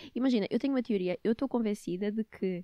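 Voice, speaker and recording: Recorded very cleanly against a silent background, with a dry, close sound and no echo, a woman talks at a fairly quick pace in a dark, mellow tone, her pitch fairly high with ordinary variation. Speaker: podcast host. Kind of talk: casual chat.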